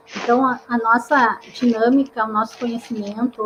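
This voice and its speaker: Over noticeable background noise, a woman speaks in a fairly high pitch. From interior of Paraná, Brazil. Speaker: psychologist and career counselor, live show host. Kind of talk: online live talk, self-introduction.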